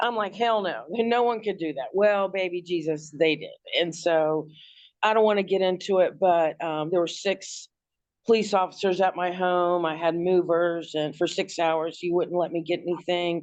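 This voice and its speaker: A woman's plain, everyday voice with an American accent, fairly low in pitch, at a moderate pace with fairly even intonation, against a quiet background. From Washington D.C., US. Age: 60s. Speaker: abuse survivor, hairdresser. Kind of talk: interview testimony.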